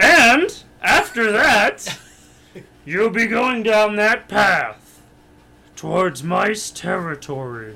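A put-on character voice, fairly high in pitch, speaks very slowly with long, frequent pauses. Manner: gruff, blunt.

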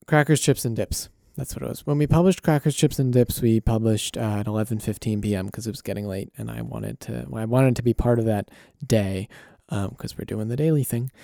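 Here a man talks at a very fast pace with a dark, mellow tone. The sound is dry and close with no echo, on a very clean recording with a silent background. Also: medium pitch for a man, ordinary pitch variation, big swings in loudness. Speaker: podcast host. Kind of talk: solo monologue about podcast production. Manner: halting, many fillers.

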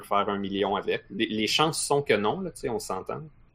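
This is a man's voice. He speaks with a Quebec accent. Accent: Québécois French. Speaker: podcast co-host. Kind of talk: casual chat.

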